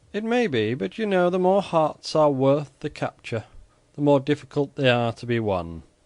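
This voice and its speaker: Putting on a character voice, a man sounds shrill at a fairly high pitch, moving at a moderate pace with very wide pitch swings. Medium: read story. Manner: piercing, controlled.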